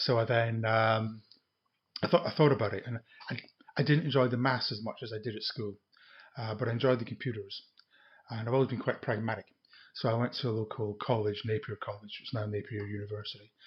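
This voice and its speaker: A man at a medium pitch talks at a very fast pace yet with long, frequent pauses, his voice somewhat breathy and his intonation fairly even. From Scotland, Edinburgh. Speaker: retired IT project manager. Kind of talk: casual chat. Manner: halting.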